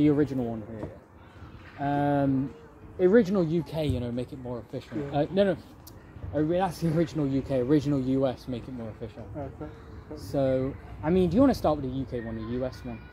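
A man speaks at a fairly quick pace with ordinary pitch variation. His loudness swings widely over light background noise. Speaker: food review host. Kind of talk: casual vlog chat. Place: garden.

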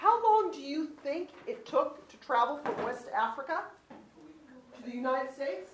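A high-pitched woman's voice with very wide pitch swings over noticeable background noise. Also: moderate pace. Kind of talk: classroom teaching. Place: classroom. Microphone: camera far.

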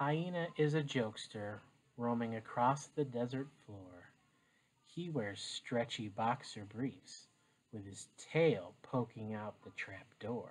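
A soft-spoken man at a very slow pace, with big swings in loudness. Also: medium pitch for a man, ordinary pitch variation. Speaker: teacher. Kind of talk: reading aloud. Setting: home, living room floor. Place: home room. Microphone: webcam.

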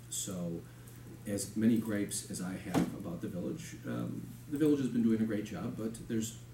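A man at a moderate pace over noticeable background noise. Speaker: candidate. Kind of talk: interview answer. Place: meeting room.

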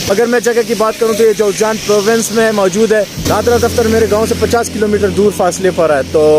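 A man talks at a moderate pace in a high pitch with fairly even intonation and very even loudness. The sound is dry with no echo, with noticeable background noise. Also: hardly any pauses. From Pakistan. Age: 20s. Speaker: vlogger. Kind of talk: travel vlog. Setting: outdoors. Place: street. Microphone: phone near.

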